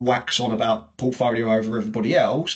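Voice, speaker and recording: A man speaks with a British accent. His voice is somewhat breathy. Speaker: payroll recruitment consultant. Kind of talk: webinar presentation. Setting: video call webinar. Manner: fast.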